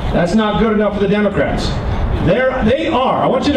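Noticeable background noise and audible room echo behind a man's voice. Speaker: speaker. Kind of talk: political rally speech. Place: street. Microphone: pa.

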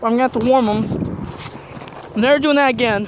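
The sound is dry with no echo, and there is noticeable background noise. The pace is moderate. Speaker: vlogger. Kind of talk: casual vlog chat. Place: open country. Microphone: phone near.

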